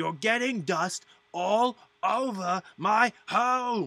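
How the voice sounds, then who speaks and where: A man puts on a character voice, pitched high. He speaks at a very slow pace. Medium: actual play. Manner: irritable, territorial.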